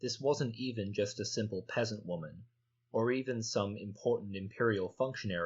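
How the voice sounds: A natural reading voice, with ordinary pitch variation, comes through against quiet surroundings.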